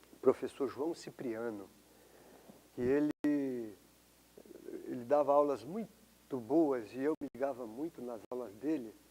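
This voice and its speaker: The man's tone is dark and mellow, with a fairly high pitch. He speaks at a fairly slow pace. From Brazil, São Paulo. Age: 60s. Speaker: professor. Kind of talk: interview testimony. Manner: halting, repeats words.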